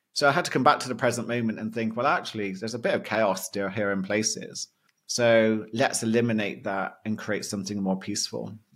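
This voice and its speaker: A man at a very fast pace with a British accent, medium pitch and ordinary pitch variation. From Britain. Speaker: mindset coach and hypnotherapist. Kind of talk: interview conversation.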